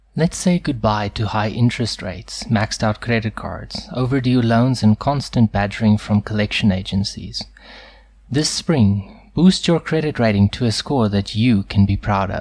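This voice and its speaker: A man talks at a fairly low pitch with ordinary pitch variation and a somewhat breathy quality. The recording is very clean, with a silent background. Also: moderate pace. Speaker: voice actor. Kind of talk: TV commercial read.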